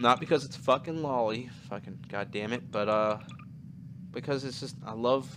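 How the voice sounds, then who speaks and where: In a plain, everyday voice, a man talks at a moderate pace, with medium pitch and ordinary pitch variation. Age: 20s. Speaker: YouTuber. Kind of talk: casual chat.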